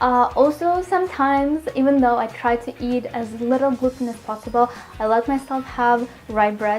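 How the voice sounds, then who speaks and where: Music plays in the background as a woman with a fairly high pitch speaks with ordinary pitch variation. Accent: Russian. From Russia, Moscow. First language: Russian. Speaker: healthy cooking vlogger. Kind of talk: casual Q&A chat to viewers.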